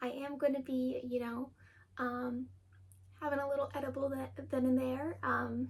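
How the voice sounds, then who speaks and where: A woman's voice over noticeable background noise. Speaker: tattoo artist and podcast host. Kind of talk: casual chat. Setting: bedroom. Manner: hesitant with many fillers.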